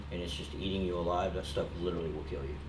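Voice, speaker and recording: Audible room echo surrounds a man with a Southern US accent. His pitch is very deep and low. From Little Rock, Arkansas (moved to Dallas area at 14). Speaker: recovering addict and cannabis entrepreneur. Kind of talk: interview testimony. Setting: in-store recording. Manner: casual, halting with fillers.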